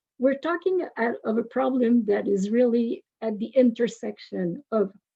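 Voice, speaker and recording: Speaking very slowly with a French accent, a woman uses a fairly high pitch, lively intonation and a dark, mellow tone. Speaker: university professor. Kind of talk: webinar presentation. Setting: webinar.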